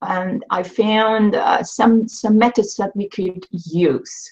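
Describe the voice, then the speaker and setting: Somewhat breathy, a woman speaks very slowly with fairly even intonation. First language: Swedish. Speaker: intuitive coach and author. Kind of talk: interview on live video show. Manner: halting.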